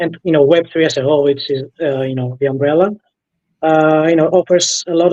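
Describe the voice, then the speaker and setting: Speaking with a Greek accent, a man has a fairly high pitch, a dark, mellow tone and fairly even intonation. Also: dry, close sound with no echo. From Greece. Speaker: blockchain developer. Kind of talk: interview.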